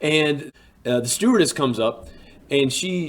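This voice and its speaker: An animated man in a Southern US accent, with ordinary pitch variation. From US South, Alabama (Birmingham suburbs). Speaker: teacher and storyteller. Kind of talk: storytelling monologue. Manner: casual, animated.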